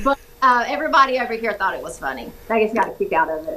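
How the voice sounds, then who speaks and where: A woman's high voice in a Georgia accent, very fast and with very wide pitch swings, over noticeable background noise. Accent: Southern, Georgia. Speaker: interviewee, actor in a film.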